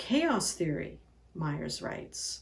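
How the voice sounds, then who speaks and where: The speaker is a woman. There's a somewhat breathy quality to her voice. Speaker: pastor. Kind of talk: sermon delivery.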